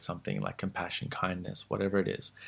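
Calm and relaxed, a man speaks in a fairly low pitch with an Australian accent. The recording is very clean, with a silent background. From Australia (born in Sri Lanka, moved after age six). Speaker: meditation teacher. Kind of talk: interview, teaching tone. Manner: calm, relaxed with many fillers.

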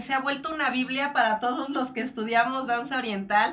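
Speaking in a Mexican accent, a woman projects a raised, high-pitched voice at a moderate pace. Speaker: online show host. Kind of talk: interview; announcements.

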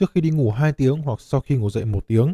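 A medium-pitched man speaks with a dark, mellow tone and ordinary pitch variation in a dry, close sound with no echo. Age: 30s. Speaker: podcast host. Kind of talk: scripted narration.

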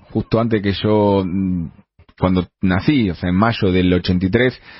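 In a Rioplatense accent, a man speaks at a fairly low pitch with fairly even intonation. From Argentina. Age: 40s. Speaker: radio columnist. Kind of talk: radio opinion column.

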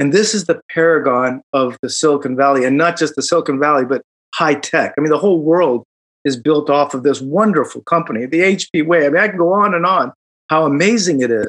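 A man with a Midwestern accent talks at a fairly quick pace. His pitch sits fairly high, with ordinary variation. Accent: American Midwest. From Chicago. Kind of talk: casual chat.

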